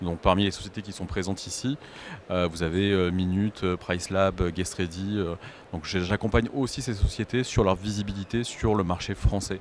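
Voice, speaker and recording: Male speech, very deep and low in pitch, moderate in pace and fairly even in intonation. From southern France, Aix-en-Provence. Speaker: short-term rental consultant. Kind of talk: panel discussion. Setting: stage with audience at trade show. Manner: hesitant, many fillers.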